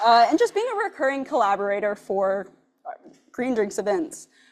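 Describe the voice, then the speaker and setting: A woman is speaking. Her intonation is lively. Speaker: nonprofit programs director. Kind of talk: event introduction. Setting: brewery event with live audience, hybrid. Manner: loud.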